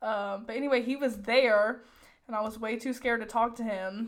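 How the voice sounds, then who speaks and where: At a moderate pace and fairly high pitch, a woman with a plain, everyday voice speaks with fairly even intonation in a very clean recording with a silent background. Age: 20s. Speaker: podcast co-host. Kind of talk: casual chat.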